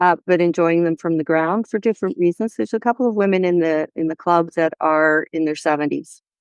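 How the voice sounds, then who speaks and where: In a quiet background with a dry, close sound and no echo, a woman with a normal speaking voice talks fairly quickly at a fairly low pitch, with ordinary pitch variation and very even loudness. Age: 60s. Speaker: horse riding confidence coach. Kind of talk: interview.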